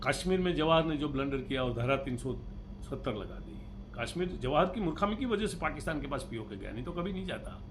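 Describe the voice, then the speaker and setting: Noticeable background noise and audible room echo surround speech with lively intonation. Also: man, fairly high pitch for a man. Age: 70s. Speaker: political commentator. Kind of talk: political monologue.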